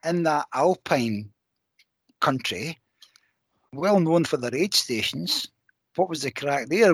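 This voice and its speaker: A man with a Scottish accent, fairly high in pitch, at a fairly slow pace with lively intonation, in a dry, close sound with no echo. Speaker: podcast co-host. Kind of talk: casual interview chat.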